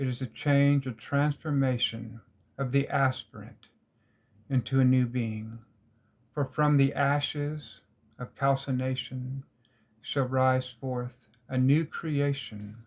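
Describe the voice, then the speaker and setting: In a very clean recording with a silent background, a man with a medium pitch talks at a very slow pace in a monotone, flat, somewhat breathy voice, leaving long, frequent pauses. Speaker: esoteric teacher. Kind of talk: lecture. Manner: halting.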